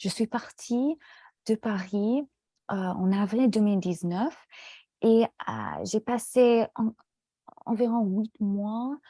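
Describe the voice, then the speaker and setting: In a very clean, silent recording with a dry, close sound and no echo, a woman with an English accent speaks very slowly with long, frequent pauses, her somewhat breathy voice fairly high in pitch, dark and mellow in tone, with ordinary pitch variation. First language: English (speaking French). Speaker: French language student. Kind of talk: casual conversation in a language lesson. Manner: halting, many hesitations.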